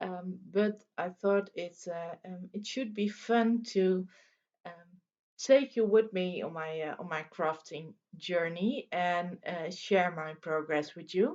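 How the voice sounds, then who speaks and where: Speaking very slowly, a woman uses a medium pitch. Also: ordinary pitch variation. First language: Dutch. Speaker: crafting video host. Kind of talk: casual vlog chat. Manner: halting with many fillers.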